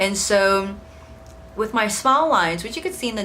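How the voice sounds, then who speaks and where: A woman talks at a fairly quick pace with ordinary pitch variation, with audible room echo and noticeable background noise. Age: 20s. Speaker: beauty vlogger. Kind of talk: product review. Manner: casual, with fillers.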